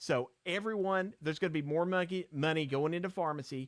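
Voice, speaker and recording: A man's animated voice in a Virginia accent, moderate in pace with ordinary pitch variation, on a very clean recording with a silent background. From southwestern Virginia. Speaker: pharmacist advocate, live stream host. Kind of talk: live stream advocacy talk. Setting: live stream.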